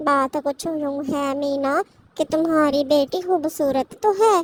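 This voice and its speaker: A female-sounding voice does a cartoonish character voice. The pitch is high. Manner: chatty, direct.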